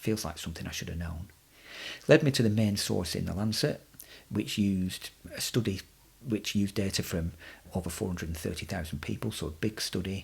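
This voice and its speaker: With an English accent, a somewhat breathy man speaks in a fairly low pitch with ordinary pitch variation and long, frequent pauses. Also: fairly quick pace. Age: middle-aged. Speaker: podcast host and runner. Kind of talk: podcast monologue. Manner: halting.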